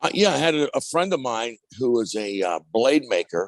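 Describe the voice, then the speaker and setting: A man with an American accent talks at a fairly slow pace with lively intonation, his sound dry and close with no echo against a quiet background. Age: 60s. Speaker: steel mill scrapper and museum founder. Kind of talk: interview. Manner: halting.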